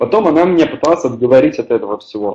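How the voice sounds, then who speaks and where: A man with a fairly high pitch speaks with audible room echo. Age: 20s. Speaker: network marketing team leader; webinar presenter. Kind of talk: webinar presentation. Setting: online webinar with live chat. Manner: hesitant, many filler sounds. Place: home room. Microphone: webcam.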